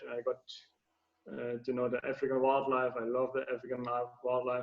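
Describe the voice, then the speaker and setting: A man's fairly quick speech in a German accent, medium pitch and monotone, flat intonation. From Germany. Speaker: anti-poaching ranger. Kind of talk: interview. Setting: video call. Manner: halting, many fillers.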